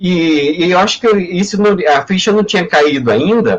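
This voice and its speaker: This man talks with lively intonation. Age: 60s. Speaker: history professor. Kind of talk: personal testimony in a live panel. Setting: online live stream. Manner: halting, many repetitions and fillers.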